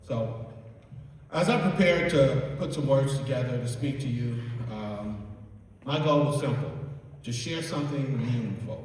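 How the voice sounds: A man with a medium pitch and a slightly mellow tone speaks at a fairly slow pace with lively intonation, in strong room echo.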